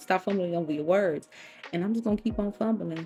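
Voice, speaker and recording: Over noticeable background noise, a woman talks at a very fast pace. Her intonation is lively. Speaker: craft tutorial creator. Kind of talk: tutorial voiceover. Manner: casual, chatty.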